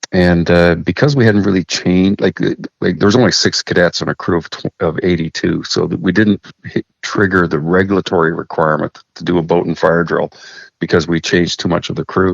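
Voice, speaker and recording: In a Canadian accent, a man talks at a fairly quick pace with fairly even intonation. His pitch is very deep and low, and the sound is dry and close with no echo. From Saskatchewan, Canada. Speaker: master mariner. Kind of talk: interview storytelling.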